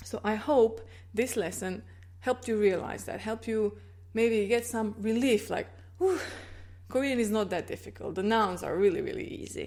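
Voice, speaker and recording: A woman with a Croatian accent speaks at a moderate pace in a very clean recording with a silent background. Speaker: language teacher. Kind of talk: tutorial. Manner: clear, explanatory.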